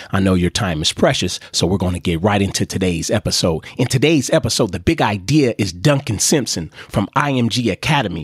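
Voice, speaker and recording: A man speaks at a fairly quick pace, with hardly any pauses, in a normal speaking voice. His pitch is fairly low and his intonation lively, and the sound is dry and close with no echo. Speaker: podcast host. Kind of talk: podcast intro.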